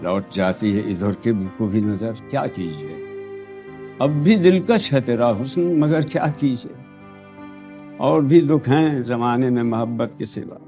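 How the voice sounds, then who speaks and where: Over music in the background, a man with a medium pitch speaks with very wide pitch swings. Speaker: actor and reciter. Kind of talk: poetry reading. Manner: emotional, soulful.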